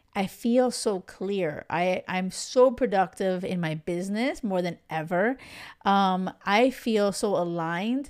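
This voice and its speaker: Recorded very cleanly over a silent background, a woman speaks at medium pitch in a plain, everyday voice. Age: 40s. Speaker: love coach, podcast host. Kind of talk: casual solo monologue. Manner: chatty, filler-heavy.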